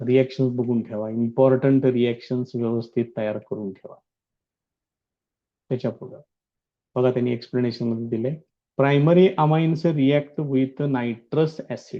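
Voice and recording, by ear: At a fairly slow pace, a man speaks in a medium pitch with little pitch movement.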